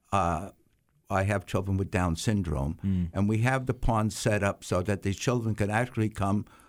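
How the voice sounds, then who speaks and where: Using an ordinary speaking voice with an American accent, a man speaks at a moderate pace in a fairly low pitch, with ordinary pitch variation and very even loudness, on a very clean recording with a silent background. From Staten Island, New York. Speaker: horse farmer. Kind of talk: casual interview.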